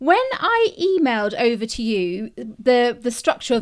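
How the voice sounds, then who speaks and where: A fairly high-pitched woman with an English accent. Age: 40s. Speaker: podcast host, journalist. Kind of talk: interview; scripted introduction. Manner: animated.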